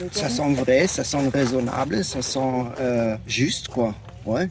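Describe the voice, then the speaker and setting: Speaking very slowly with a German accent and ordinary pitch variation, a man comes through noticeable background noise and audible room echo. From Germany. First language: German (speaking French). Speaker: hiker interviewed outdoors. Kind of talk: casual interview. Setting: outdoors by a lake. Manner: halting.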